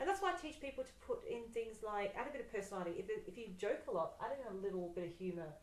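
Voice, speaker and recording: A woman at a very fast pace with hardly any pauses, a fairly high voice, very wide pitch swings, and big swings in loudness, over noticeable background noise. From Yorkshire, northern England. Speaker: social media marketing trainer. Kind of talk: casual chat. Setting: Facebook live video. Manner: natural, unpolished delivery.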